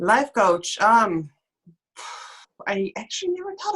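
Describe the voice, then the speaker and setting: A woman speaks with a European accent at a fairly slow pace. Her pitch sits fairly high. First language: non-English European language. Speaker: life coach and mentor. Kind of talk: casual interview chat. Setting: live online stream.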